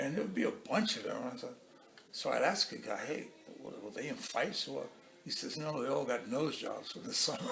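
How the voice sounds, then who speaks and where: A man talks at a fairly quick pace with noticeable background noise and audible room echo. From Cuba. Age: 70s. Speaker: interviewee. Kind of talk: casual interview. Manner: halting, repetitive.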